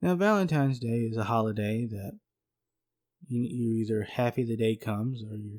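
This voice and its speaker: Over a silent background in a very clean recording, a man with a Southern US accent speaks at a medium pitch and moderate pace, his intonation fairly even. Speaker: podcast co-host. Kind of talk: casual podcast chat.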